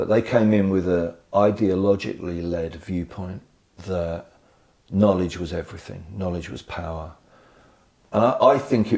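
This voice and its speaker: Dark, mellow tone with an English accent, a moderate pace and ordinary pitch variation. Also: man. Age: 60s. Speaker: education association chief executive, former head teacher. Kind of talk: podcast interview.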